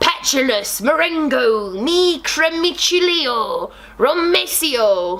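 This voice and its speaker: A woman puts on a character voice, pitched high and swinging very widely up and down. She speaks very slowly over light background noise. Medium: read story. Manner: loud, melodramatic.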